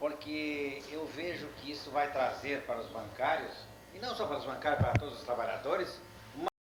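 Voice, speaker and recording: The man's pitch is fairly high. He talks at a moderate pace, with audible room echo. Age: 60s. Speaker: honoree and veteran bank union member. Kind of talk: speech at union ceremony.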